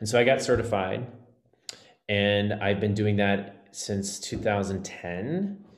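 A man with an American accent speaks very slowly in a fairly low voice, his intonation fairly even, with audible room echo. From Texas. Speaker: Broadway actor and life coach. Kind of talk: casual interview.

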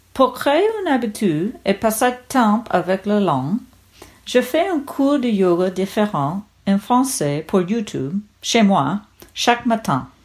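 With an English accent, a woman talks very slowly at a fairly high pitch, her voice swinging very widely up and down. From United States. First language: English (speaking French). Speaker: podcast listener, French learner. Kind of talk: recorded listener testimony.

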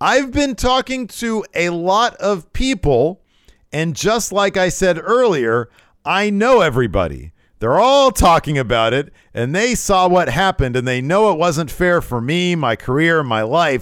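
On a very clean recording with a silent background, a man talks at a fairly slow pace in a high pitch, his voice making very wide pitch swings. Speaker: wrestling podcast host. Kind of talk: casual chat, show recap and review. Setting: live on Twitch stream.

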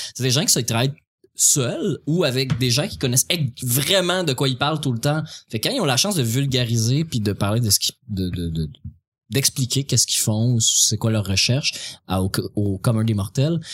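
A somewhat breathy man with a Quebec accent, at medium pitch and a moderate pace. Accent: Québécois French. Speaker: stand-up comedian. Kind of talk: casual chat.

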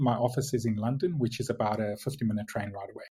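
A man with a South African accent speaks in a somewhat breathy voice against a quiet background. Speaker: logistics tech executive.

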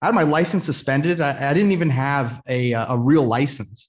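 Over a quiet background, a man with a fairly high pitch speaks at a fairly slow pace with ordinary pitch variation. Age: 20s. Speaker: online entrepreneur. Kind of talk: casual interview, personal story. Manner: halting, many fillers and restarts.

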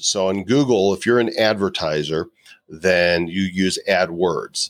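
A man with a fairly low voice talks with ordinary pitch variation in a dry, close sound with no echo. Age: 50s. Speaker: live video marketing expert and author. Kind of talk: interview conversation. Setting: video call.

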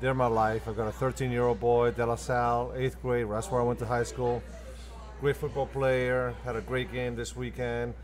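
A man with an Argentine accent, talking at a moderate pace. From Argentina. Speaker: restaurant owner and manager. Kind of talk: casual interview chat.

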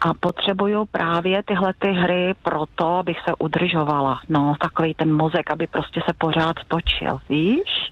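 A woman with a normal speaking voice, fairly low in pitch and fairly slow, with fairly even intonation, very even loudness and hardly any pauses. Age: 60s. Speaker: secondary school science teacher. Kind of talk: phone interview. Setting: phone call.

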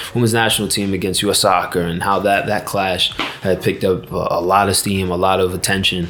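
Fairly quick, monotone, flat speech from a man with an American accent and fairly low pitch, hardly any pauses, noticeable background noise and audible room echo. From United States. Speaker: football player. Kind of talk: casual chat. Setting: stadium. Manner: halting.

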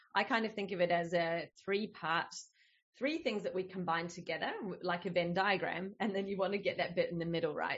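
A woman speaks with an Australian accent at a medium pitch. Her voice is somewhat breathy. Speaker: business coach. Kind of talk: casual interview chat.

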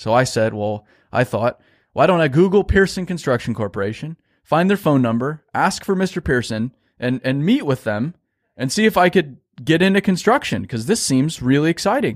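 Recorded dry and close with no echo, a man talks at a fairly quick pace with very wide pitch swings. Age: 20s. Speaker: business owner, construction marketing CEO. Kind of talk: interview.

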